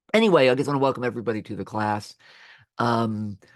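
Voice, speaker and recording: With an American accent, a man at medium pitch talks at a very fast pace against a quiet background. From Florida, Jacksonville. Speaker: history professor. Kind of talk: recorded course remarks to students. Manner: halting, many fillers and restarts; casual.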